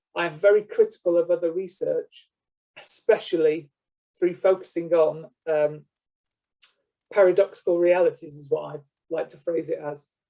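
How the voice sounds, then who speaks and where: In a British accent, a man talks at a moderate pace with long, frequent pauses and big swings in loudness. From UK. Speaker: lecturer. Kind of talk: lecture. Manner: hesitant, many fillers.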